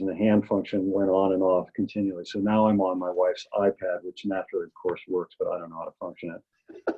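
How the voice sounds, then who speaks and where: Here a man with an ordinary speaking voice and a fairly low pitch talks at a moderate pace. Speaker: community member giving public input. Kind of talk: public comment at virtual meeting.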